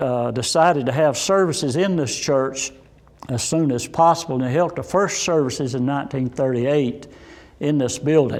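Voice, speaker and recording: A man speaks with a Southern Appalachian accent. His pitch is fairly high. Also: ordinary pitch variation, moderate pace. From Saluda, North Carolina. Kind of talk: oral history interview. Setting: inside a church.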